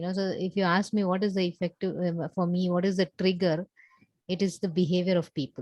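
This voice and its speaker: Soft-spoken and monotone, a woman talks at a fairly quick pace with a medium pitch and flat intonation, in a dry, close sound with no echo. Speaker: coaching client. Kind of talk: one-on-one coaching session. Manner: halting.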